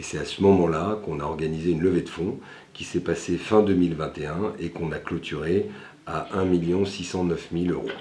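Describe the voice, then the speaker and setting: Audible room echo surrounds a man whose very deep, low voice has a dark, mellow tone and fairly even intonation as he speaks at a fairly quick pace. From France, Lyon area (Villeurbanne). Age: 40s. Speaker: entrepreneur, company founder. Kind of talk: interview portrait. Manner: frequent hesitations (euh).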